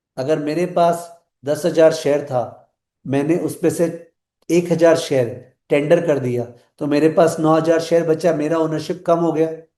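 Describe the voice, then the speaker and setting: A man's fairly high, dark, mellow voice with fairly even intonation. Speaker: finance teacher. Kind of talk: lecture. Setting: live online class.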